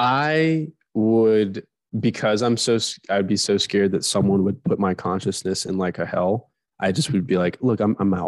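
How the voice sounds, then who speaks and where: Heard with a dry, close sound and no echo, a man with a plain, everyday voice speaks at a moderate pace and fairly low pitch, with ordinary pitch variation. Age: 20s. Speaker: podcast co-host. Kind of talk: casual chat.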